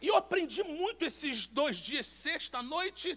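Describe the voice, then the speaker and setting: Projecting loudly, a man speaks at an extremely high pitch with a bright, sharp tone and ordinary pitch variation. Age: 50s. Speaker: pastor. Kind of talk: sermon.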